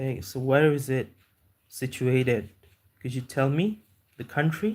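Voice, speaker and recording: A man's somewhat breathy voice at a medium pitch, with a fairly slow pace, lively intonation and long, frequent pauses. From Kolkata, India. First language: Bengali. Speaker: YouTuber and English tutor. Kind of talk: live stream chat. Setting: live stream. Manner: halting.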